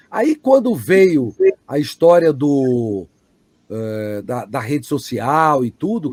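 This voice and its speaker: Very wide pitch swings mark this man's voice. He speaks at a very slow pace. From Brazil. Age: 60s. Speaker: voice actor. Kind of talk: interview answer. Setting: online live stream.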